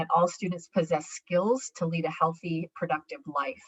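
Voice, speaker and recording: With an unremarkable speaking voice, a woman speaks at a medium pitch and a moderate pace. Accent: American. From New York. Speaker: education presenter. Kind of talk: conference presentation.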